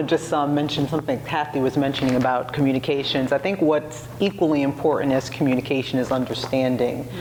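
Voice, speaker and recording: Over noticeable background noise, a woman with a very deep, low pitch talks at a very fast pace. She keeps her loudness very even and leaves hardly any pauses. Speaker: panelist. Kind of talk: panel discussion. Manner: animated.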